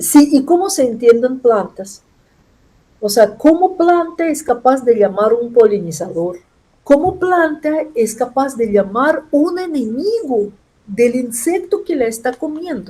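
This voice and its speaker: A woman's high voice with a dark, mellow tone, a non-native accent, very wide pitch swings and a very slow pace. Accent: foreign accent in Spanish. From Russia. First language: Russian (speaking Spanish). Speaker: chemistry professor and scientist. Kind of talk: interview. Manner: halting, with self-corrections.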